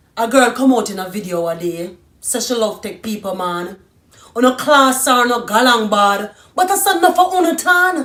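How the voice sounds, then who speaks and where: Woman with a Jamaican accent, fairly high in pitch, with very wide pitch swings at a moderate pace. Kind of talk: dramatic spoken-word monologue.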